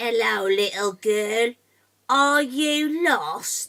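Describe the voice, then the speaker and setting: Someone uses a put-on character voice. The pace is very slow. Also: woman, fairly high pitch for a woman. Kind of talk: bedtime story. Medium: read story. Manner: sly.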